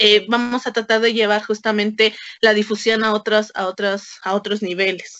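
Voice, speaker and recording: A woman's fairly high voice at a moderate pace, monotone with flat intonation. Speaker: anthropologist and meme creator. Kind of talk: casual interview.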